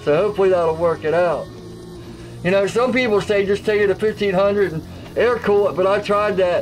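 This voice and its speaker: A man at a moderate pace with ordinary pitch variation, over faint music in the background. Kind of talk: casual vlog chat. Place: workshop.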